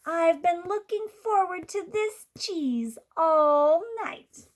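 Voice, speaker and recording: Putting on a character voice, a woman speaks at an extremely high pitch. Her delivery is very slow. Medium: read story.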